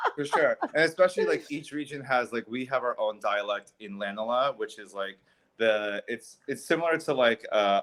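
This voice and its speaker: A man's ordinary speaking voice at a moderate pace, with ordinary pitch variation, hardly any pauses, and big swings in loudness. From US, child of Italian immigrants, summers in Italy. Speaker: Italy trip organizer. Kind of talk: casual chat. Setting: live stream video call.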